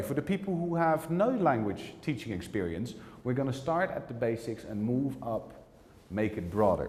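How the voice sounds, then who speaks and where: In a Dutch accent, a man speaks with very wide pitch swings, and audible room echo surrounds his voice. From Netherlands. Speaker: teacher trainer. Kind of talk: lecture.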